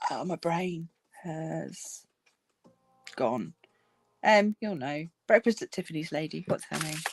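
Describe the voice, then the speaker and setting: In a dry, close recording with no echo, a woman with vocal fry speaks in a relaxed tone at a fairly slow pace, her intonation lively, her loudness swinging widely and her speech broken by long, frequent pauses. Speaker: crafting YouTuber. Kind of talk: casual livestream chat. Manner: relaxed, hesitant with many ums.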